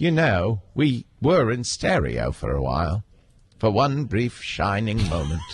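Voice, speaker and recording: Noticeable background noise beneath a voice with very wide pitch swings. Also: man. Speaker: podcast host. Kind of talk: casual banter in live podcast pre-show. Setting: live studio broadcast.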